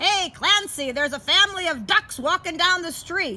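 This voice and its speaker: Loud and extremely high-pitched, a woman puts on a character voice at a moderate pace. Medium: read story. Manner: urgent, loud.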